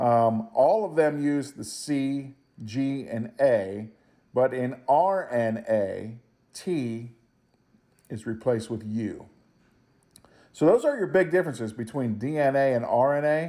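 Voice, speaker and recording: This man's voice sits at a medium pitch with a dark, mellow tone and lively intonation. He talks at a very slow pace with long, frequent pauses, and room echo is audible. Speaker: high school biology teacher. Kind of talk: lecture. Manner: casual, with fillers.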